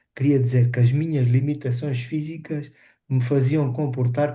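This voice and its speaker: Somewhat breathy, the voice has a dark, mellow tone. It moves at a moderate pace over a quiet background. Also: man. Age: 60s. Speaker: webinar participant living with multiple sclerosis. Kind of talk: casual testimony. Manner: halting.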